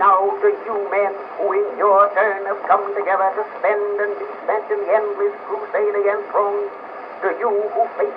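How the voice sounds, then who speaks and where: With noticeable background noise, a man with an American accent talks at a moderate pace in a high voice with fairly even intonation. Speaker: politician, former U.S. president. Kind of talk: political speech. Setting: old historical recording.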